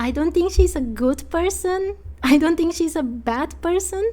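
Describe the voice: A woman with an extremely high pitch, a dark, mellow tone, lively intonation, and a fairly slow pace.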